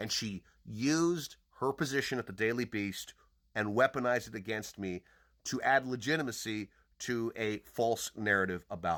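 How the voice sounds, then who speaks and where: Loud and animated, a man with a medium-pitched, bright, sharp voice and ordinary pitch variation speaks at a moderate pace in a very clean recording with a silent background and a dry, close sound with no echo. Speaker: podcaster and online commentator. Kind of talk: angry personal monologue. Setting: social media video.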